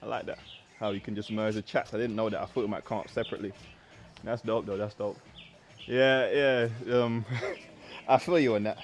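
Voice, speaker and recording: A fairly quick pace broken by long, frequent pauses, with a London accent and fairly even intonation. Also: man, medium pitch for a man. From South East London. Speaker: fitness coach. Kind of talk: live workout stream chat. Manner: casual, repetitive.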